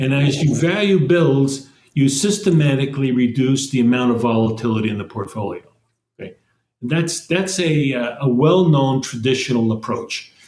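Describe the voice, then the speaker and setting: Somewhat breathy, the man's voice sits at a medium pitch. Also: ordinary pitch variation, moderate pace. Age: 80s+. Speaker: investment executive. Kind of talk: interview. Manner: halting.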